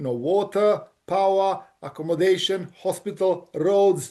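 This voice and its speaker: With a Bosnian accent, a man talks at a moderate pace in a high voice of dark, mellow tone, his intonation fairly even. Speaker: engineering company director. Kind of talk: interview.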